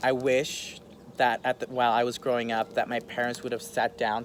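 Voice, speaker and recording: At a moderate pace, a man speaks at a medium pitch in a plain, everyday voice. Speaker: interview guest sharing personal story. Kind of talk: interview.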